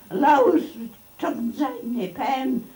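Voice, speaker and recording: Over music in the background, a woman with a Birmingham accent speaks in a high pitch with lively intonation. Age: 90s. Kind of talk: interview answer.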